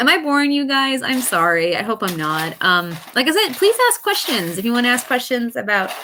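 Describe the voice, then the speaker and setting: Loud and at a fairly quick pace, a woman with an American accent speaks at a high pitch with very wide pitch swings. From US Midwest, Missouri. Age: 30s. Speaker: author and live streamer. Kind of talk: casual live Q and A chat. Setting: live stream. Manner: loud but poorly projected.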